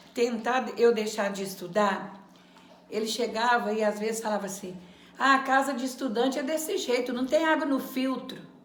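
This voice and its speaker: A woman speaks at a high pitch. Audible room echo and noticeable background noise are present. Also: ordinary pitch variation, moderate pace. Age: 70s. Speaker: adult education former student. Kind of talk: testimony.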